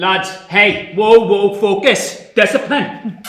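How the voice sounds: A man puts on a high-pitched character voice with a bright, sharp tone. He speaks at a slow pace with ordinary pitch variation.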